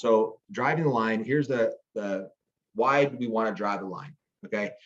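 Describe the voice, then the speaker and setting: Lively intonation runs through this man's medium-pitched speech. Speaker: network marketing team leader. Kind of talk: training talk. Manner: fast; animated.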